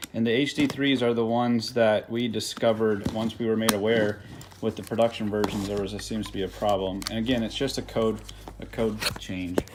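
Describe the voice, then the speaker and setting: Noticeable background noise surrounds a man with a medium-pitched voice. He talks at a fairly quick pace in a monotone, flat intonation. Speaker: drone equipment seller. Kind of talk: product tutorial. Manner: fast; hesitant, many fillers.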